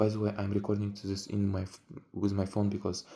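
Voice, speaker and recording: Very fast and monotone, a man speaks with a fairly low pitch and a flat intonation. His tone is dark and mellow and somewhat breathy, in a very clean recording with a silent background. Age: 20s. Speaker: vlogger. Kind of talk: casual vlog monologue. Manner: halting.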